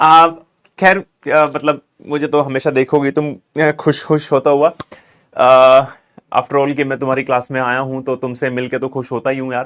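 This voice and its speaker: Long, frequent pauses break up a man's moderate-paced speech, his fairly high voice flat and monotone. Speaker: online tutor. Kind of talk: online lecture.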